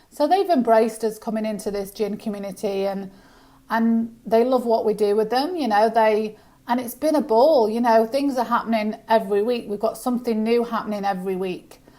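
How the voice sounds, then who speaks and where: Speaking at a fairly quick pace with a British accent, a woman has a fairly high pitch, a dark, mellow tone and ordinary pitch variation. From UK. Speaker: business founder. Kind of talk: casual chat. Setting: podcast interview.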